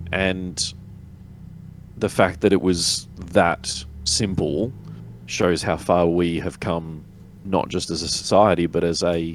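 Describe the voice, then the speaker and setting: Very slow speech in an Australian accent, with fairly even intonation and long, frequent pauses. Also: man, very deep, low pitch for a man. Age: 40s. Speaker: tabletop wargamer. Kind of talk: casual chat.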